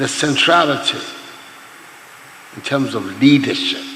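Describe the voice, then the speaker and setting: Over noticeable background noise, a man's voice shows ordinary pitch variation. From Ghana. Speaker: head of state. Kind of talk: public speech at a forum.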